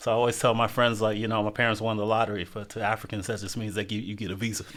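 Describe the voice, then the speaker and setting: Speaking at a very fast pace, a man with a Southern US accent keeps a fairly low pitch and monotone, flat intonation. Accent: Southern US (Georgia). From US South, Athens, Georgia. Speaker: podcast co-host. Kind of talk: casual chat.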